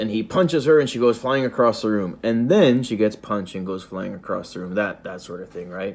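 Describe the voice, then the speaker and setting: A man talks at a fairly quick pace, his tone animated and his intonation lively. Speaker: video reviewer and host. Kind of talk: casual review monologue. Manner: fast; animated, halting with fillers.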